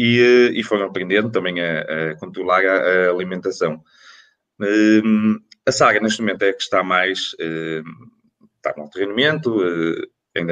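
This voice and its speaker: An ordinary speaking voice from a man, fairly low-pitched, with ordinary pitch variation and a fairly slow pace. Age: 40s. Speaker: athletics coach, former international runner. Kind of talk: panel discussion.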